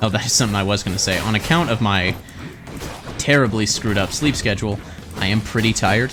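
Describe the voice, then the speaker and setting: A man talks in a fairly low voice. Music plays in the background. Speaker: gaming video creator. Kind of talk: let's play commentary. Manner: casual, conversational.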